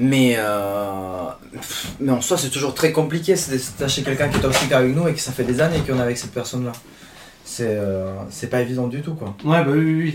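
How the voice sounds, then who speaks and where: Amid noticeable background noise and audible room echo, a man speaks at a medium pitch with ordinary pitch variation. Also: moderate pace. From Chile. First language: Spanish (speaking French). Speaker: podcast guest. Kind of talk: casual chat.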